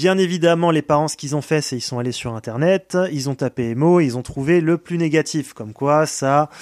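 A man talks at fairly high pitch with ordinary pitch variation, an ordinary speaking voice. The recording is very clean, with a silent background. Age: 20s. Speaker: care home worker. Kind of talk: testimony.

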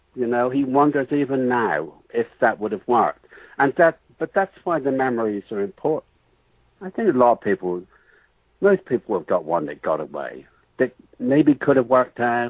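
A man with a West Country accent at a medium pitch and moderate pace, with very wide pitch swings. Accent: English accent, West Country origin. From England. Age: 60s. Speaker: writer. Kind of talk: interview.

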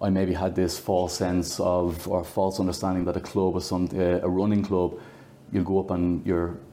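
A man with an Irish accent speaks at a fairly quick pace in a very deep, low voice, his intonation monotone and flat. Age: 40s. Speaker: running club captain. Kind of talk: interview.

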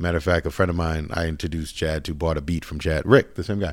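Speaking very fast in an American accent with fairly even intonation, the voice comes through on a very clean recording with a silent background. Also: man. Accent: Boston accent shed. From Boston, Dorchester/Roxbury. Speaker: music producer. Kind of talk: interview conversation.

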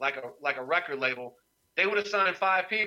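A man with an American accent talks at a fairly quick pace. His tone is bright and sharp, with lively intonation. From Durham, North Carolina. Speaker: author and former rapper. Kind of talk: casual interview. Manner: halting, many fillers.

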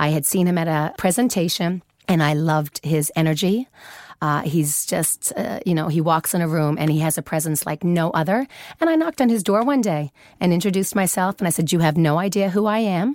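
A woman with a Newfoundland accent talks at a fairly quick pace and a fairly low pitch, with ordinary pitch variation and a dry, close sound with no echo. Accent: Canadian (Newfoundland) English. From Canada, Newfoundland. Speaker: fashion executive. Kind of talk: interview.

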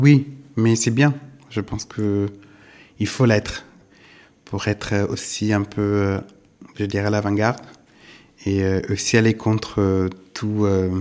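The speaker has an Italian accent. Intonation stays fairly even. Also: man, very clean recording, silent background. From southern Italy. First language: Italian (speaking French). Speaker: art gallerist. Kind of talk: interview. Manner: halting, many hesitations.

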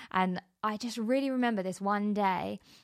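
A woman with a British accent, medium pitch, fairly even intonation and a moderate pace. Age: 30s. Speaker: podcast host. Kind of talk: podcast trailer monologue. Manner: casual, conversational.

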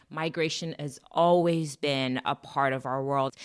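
A woman with an American accent speaks at a fairly slow pace and a very deep, low pitch. The recording is very clean, with a silent background. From Nigeria, raised in the US. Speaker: social impact leader and engineer. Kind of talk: interview.

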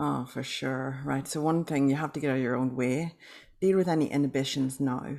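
In a very clean recording with a silent background, a woman speaks with an Irish accent at a very deep, low pitch. Her tone is dark and mellow, her intonation fairly even, and her pace fairly quick. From Northern Ireland. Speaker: author and publisher. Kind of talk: interview.

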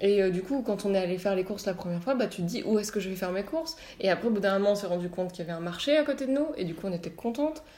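A woman of medium pitch speaks at a very fast pace with hardly any pauses. Her intonation is lively. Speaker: architecture student. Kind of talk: casual chat. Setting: at home.

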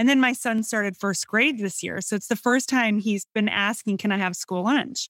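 Moderate pace in a Midwestern accent with ordinary pitch variation and hardly any pauses, on a very clean recording with a silent background and a dry, close sound with no echo. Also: woman, fairly high pitch for a woman. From US Midwest, northern Illinois. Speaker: food writer and cookbook author. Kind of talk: casual interview chat.

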